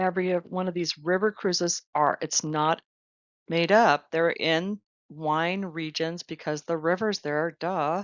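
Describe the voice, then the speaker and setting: Enthusiastic in tone, a woman speaks fairly low and fairly slowly. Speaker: travel advisor. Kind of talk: recorded slide presentation.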